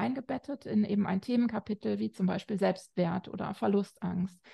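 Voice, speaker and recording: A woman's voice, somewhat breathy with a dark, mellow tone, comes across in a dry, close sound with no echo. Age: 40s. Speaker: family counselor and author. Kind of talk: interview. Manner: hesitant, many filler sounds.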